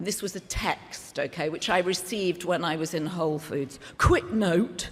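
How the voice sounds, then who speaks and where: Ordinary pitch variation runs through a woman's speech in a British accent. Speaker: media executive and event emcee. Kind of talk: gala speech. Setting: gala lunch with audience. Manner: conversational, humorous.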